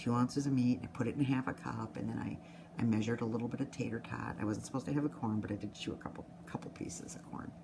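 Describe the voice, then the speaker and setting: A woman's very deep, low voice at a very fast pace with ordinary pitch variation, amid noticeable background noise. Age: 60s. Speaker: nurse sharing a weight-loss surgery update. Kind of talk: personal video diary. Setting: office at work. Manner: fast-talking.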